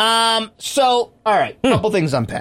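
This man sounds animated and high-pitched. He keeps a moderate pace. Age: 40s. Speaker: radio host. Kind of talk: casual chat; radio promo read. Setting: studio.

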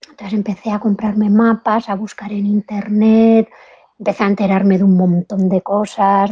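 A woman talks at a fairly slow pace in a fairly high pitch. Hers is an unremarkable speaking voice. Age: 50s. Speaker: motorcycle traveler and businesswoman. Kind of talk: interview.

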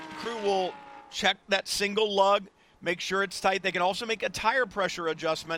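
A man's high-pitched, raised and projected voice with an animated tone over noticeable background noise. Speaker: race commentator. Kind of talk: live race commentary. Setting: trackside at race. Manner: animated, brisk play-by-play delivery.

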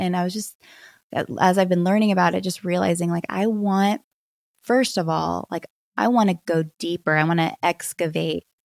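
A woman with an unremarkable speaking voice at a fairly low pitch and a moderate pace, in a very clean, dry, close recording with a silent background and no echo. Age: 40s. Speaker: pastor's wife and author. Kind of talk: interview conversation.

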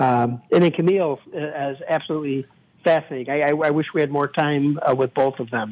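In a Chicago accent, the speaker talks at a fairly quick pace with fairly even intonation. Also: man, fairly high pitch for a man. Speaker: radio host. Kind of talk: casual chat. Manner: halting.

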